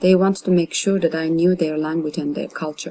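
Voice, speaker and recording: A woman speaks with a Turkish accent. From Turkey. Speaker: artist. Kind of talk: reading aloud.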